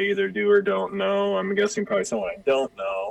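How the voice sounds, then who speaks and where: A man's voice with a Pacific Northwest accent over noticeable background noise. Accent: Pacific Northwest American. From Spokane, Washington. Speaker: podcast guest, old school friend. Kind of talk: casual chat.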